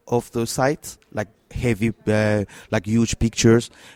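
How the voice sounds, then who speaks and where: A man speaks with a French accent at a fairly low pitch. The sound is dry and close, with no echo. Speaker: tech startup co-founder. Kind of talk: interview. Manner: halting, many fillers.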